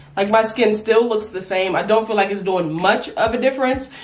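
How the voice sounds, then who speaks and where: A woman speaks with a fairly high pitch and an animated tone. Noticeable background noise and audible room echo fill the recording. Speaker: beauty vlogger. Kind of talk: casual vlog talk.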